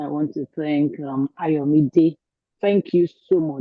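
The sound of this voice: Slow pace, ordinary pitch variation, and a dry, close sound with no echo. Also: woman.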